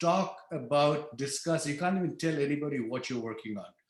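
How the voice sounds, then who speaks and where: A man with a non-native accent, fairly high in pitch, with ordinary pitch variation. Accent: non-native accent, somewhat controlled. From outside the US (immigrant). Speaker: engineer on stealth ship program. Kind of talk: lecture. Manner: hesitant, many fillers.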